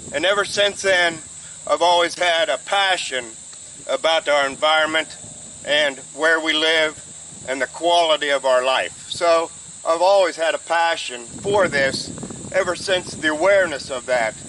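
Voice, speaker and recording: The speaker has an American accent and a fairly slow pace, with ordinary pitch variation. Noticeable background noise runs underneath. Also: man, high pitch for a man. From Ohio, USA. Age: 70s. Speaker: supervisor candidate, retired, garden columnist. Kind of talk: interview answer.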